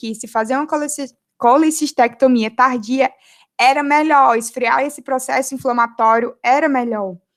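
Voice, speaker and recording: Recorded very cleanly against a silent background, a high-pitched woman speaks at a moderate pace with a dry, close sound and no echo. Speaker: medical student. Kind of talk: lecture.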